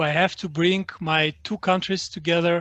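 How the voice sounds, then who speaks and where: A man speaks in an Albanian accent with monotone, flat intonation. The sound is dry and close with no echo, the background quiet. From Greece, born in Albania. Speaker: literary translator. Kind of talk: online panel talk. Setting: online event. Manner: halting, many fillers.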